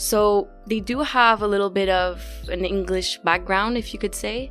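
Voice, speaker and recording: A woman speaks in a Quebec accent. Music plays in the background. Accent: Québécois French-accented English. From Quebec City, Canada. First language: French. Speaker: student. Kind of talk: podcast interview answer.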